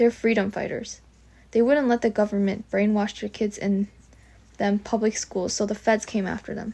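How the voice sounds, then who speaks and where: A woman's fairly high pitch paired with a dark, mellow tone. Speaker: amateur book reader. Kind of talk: memoir read aloud. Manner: some stuttering.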